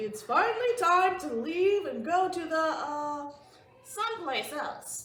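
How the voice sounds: A woman puts on a loud character voice at an extremely high pitch. She speaks at a fairly slow pace with a slight echo.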